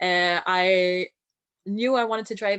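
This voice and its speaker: A woman with a strong French accent, medium pitch and ordinary pitch variation. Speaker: boat captain and naturalist. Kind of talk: online talk.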